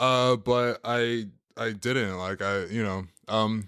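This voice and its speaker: The man's pitch sits fairly low. His recording is very clean, with a silent background. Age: 20s. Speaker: television production worker and fitness trainer. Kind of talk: casual interview. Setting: studio. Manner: halting.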